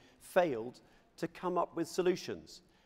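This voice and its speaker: This man uses an ordinary speaking voice at a moderate pace with ordinary pitch variation. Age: 60s. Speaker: politician. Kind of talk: conference speech. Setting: stage with audience.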